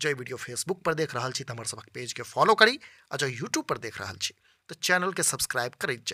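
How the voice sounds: A man's bright, sharp tone with lively intonation at a moderate pace, dry and close with no echo, on a very clean recording with a silent background.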